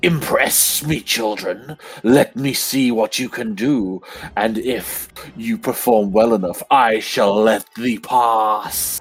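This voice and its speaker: A man in a put-on character voice, medium in pitch, at a very slow pace. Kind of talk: archaic, grand. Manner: commanding, imperious.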